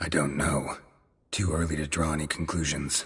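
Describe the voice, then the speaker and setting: Putting on a character voice, a man speaks at a moderate pace in a raspy, monotone, flat delivery with a very deep, low pitch. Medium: video game.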